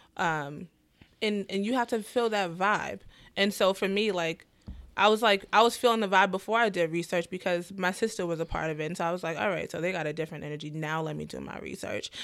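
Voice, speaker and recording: In a New York accent, a woman talks at a very fast pace and medium pitch with ordinary pitch variation, on a very clean recording with a silent background. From New York, the Bronx. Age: 20s. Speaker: first grade teacher. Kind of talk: casual chat.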